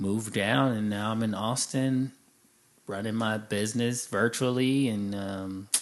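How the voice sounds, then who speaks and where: A man with an American accent, fairly low-pitched, at a fairly slow pace. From Chicago, then California. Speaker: podcast co-host and business owner. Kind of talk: interview, telling life story. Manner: casual, animated.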